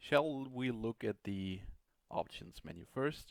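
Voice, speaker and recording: Lively intonation marks a man's very slow speech. The sound is dry and close, with no echo. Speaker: game reviewer. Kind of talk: gameplay commentary. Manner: occasional stuttering; hesitant, many filler sounds.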